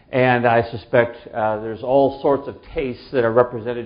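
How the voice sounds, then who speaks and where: There is audible room echo as a man speaks at a medium pitch and a moderate pace with fairly even intonation. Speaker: pastor teaching a church class. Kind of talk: class lecture. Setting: room with live audience. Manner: loud; hesitant, many fillers.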